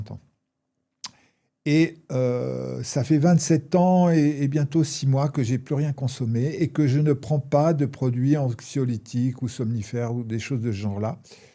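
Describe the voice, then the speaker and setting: In a dark, mellow tone at medium pitch, a man speaks at a fairly slow pace with ordinary pitch variation. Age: 60s. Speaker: former addict sharing recovery experience. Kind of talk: interview. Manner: hesitant, many fillers.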